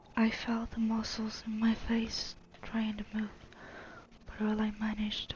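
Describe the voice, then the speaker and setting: Soft-spoken and whispering, the speaker goes at a fairly slow pace over noticeable background noise. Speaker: storyteller. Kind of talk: reading aloud.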